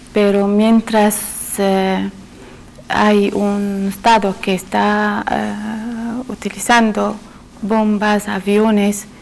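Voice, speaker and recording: Woman with an Arabic accent, medium pitch and monotone, flat intonation at a very slow pace, amid noticeable background noise. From Syria. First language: Arabic (speaking Spanish). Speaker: panel guest. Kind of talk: panel discussion. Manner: hesitant, many fillers.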